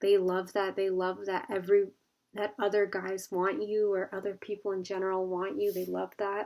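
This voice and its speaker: Here a woman speaks at medium pitch and a moderate pace. Her intonation is monotone and flat, in a very clean recording with a silent background. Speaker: tarot card reader. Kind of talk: pick-a-card tarot reading. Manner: casual, filler-heavy.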